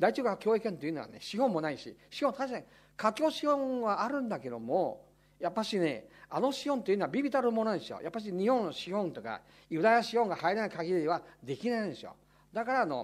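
This man speaks very fast in a high pitch, with very wide pitch swings and big swings in loudness. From Taiwan. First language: Taiwanese/Chinese (speaking Japanese). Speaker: political commentator. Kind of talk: lecture Q&A. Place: meeting room. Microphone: podium.

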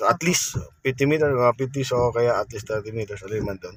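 With a somewhat breathy voice, a man talks, his pitch moving in an ordinary way. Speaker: driving instructor. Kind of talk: tutorial. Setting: in a car.

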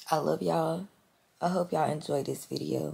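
Putting on a character voice, a woman talks fairly quickly in a hoarse, raspy tone. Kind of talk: casual vlogger sign-off.

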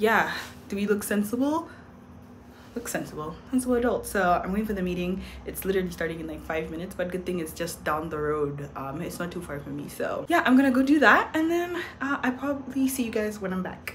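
A woman speaks at a very fast pace. Light background noise sits behind her. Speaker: vlogger. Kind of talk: casual vlog chat. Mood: cheerful, a little excited. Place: home room. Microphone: phone near.

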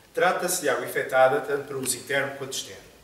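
Amid light background noise and audible room echo, a man speaks at a very fast pace. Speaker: stage actor. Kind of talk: theatrical dialogue. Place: stage. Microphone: camera far.

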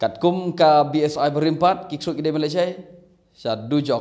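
A man with a Meghalaya accent speaks against a quiet background. His pitch is fairly high and his tone dark and mellow. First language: Khasi (speaking Malay). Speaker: bible teacher. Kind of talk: bible teaching. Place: home room. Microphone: phone near.

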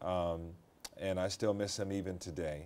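A man's dark, mellow voice with an American accent. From US Midwest, St. Louis area; US Midwest. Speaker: TV news anchor. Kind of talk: interview. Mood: reflective, personal. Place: studio.

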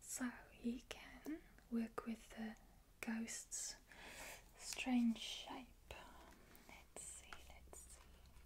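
A woman is whispering. Her tone is relaxed. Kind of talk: ASMR design-with-me talk to camera. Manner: soft-spoken, whispered, relaxed. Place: home room.

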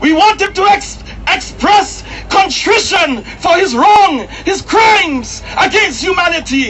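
Against light background noise, a man talks at a fairly slow pace in an extremely high pitch. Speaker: protest speaker and campaigner. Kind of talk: impassioned open-air rally speech, hammering short repeated slogans. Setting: outdoors at a street protest addressing crowds. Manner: forceful and declamatory, repeating lines for crowd emphasis; occasionally stumbling and repeating words mid-flow. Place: street.

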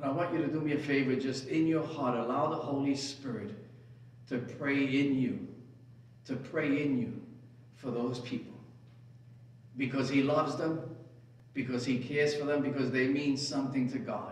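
A man speaks at a moderate pace in a fairly high pitch, his intonation flat and monotone, with long, frequent pauses. Room echo is audible. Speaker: preacher. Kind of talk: sermon; fervent prayer. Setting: church. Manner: impassioned, pleading, rising with emotion. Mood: emotional, earnest, halting. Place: church.

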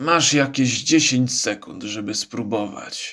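Putting on a character voice, a man speaks hoarse and raspy at a medium pitch and a fairly slow pace. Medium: read story. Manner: gruff, sarcastic.

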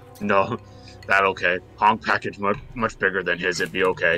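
A man's put-on character voice, fairly low in pitch, at a moderate pace over clear background music. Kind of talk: broken third-person speech. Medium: actual play. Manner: blunt, simple, crude.

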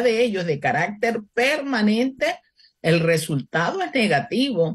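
A woman talks at a fairly slow pace in a fairly high, somewhat breathy voice. Her pitch swings very widely. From Panama City, Panama. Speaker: economist and presidential candidate. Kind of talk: radio interview. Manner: formal.

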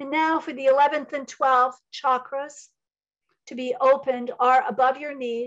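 A woman with a high pitch speaks at a moderate pace, her intonation fairly even. Her loudness swings a lot, against a quiet background. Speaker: psychic medium and Reiki teacher; Reiki teacher. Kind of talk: channeled spiritual talk. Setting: video call. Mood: calm, inspirational. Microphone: video call.

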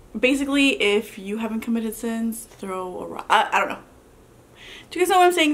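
A woman is speaking here. Her pace is very fast. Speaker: mukbang vlogger. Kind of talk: casual vlog chat. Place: home room.

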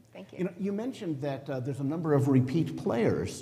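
This man has a normal speaking voice, fairly high in pitch. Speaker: judge. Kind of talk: onstage interview. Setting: stage with audience. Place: hall.

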